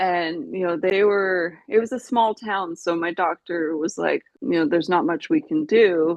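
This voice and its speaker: With an unremarkable speaking voice in a Canadian accent, a woman at medium pitch speaks at a fairly slow pace with lively intonation and hardly any pauses. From Canada, British Columbia (Vancouver Island). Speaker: brain injury survivor. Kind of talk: interview testimony.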